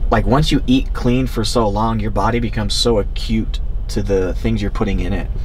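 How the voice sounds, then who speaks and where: There is a man speaking at a moderate pace. Noticeable noise fills the background. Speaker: fitness vlogger. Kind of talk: casual vlog chat. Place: car.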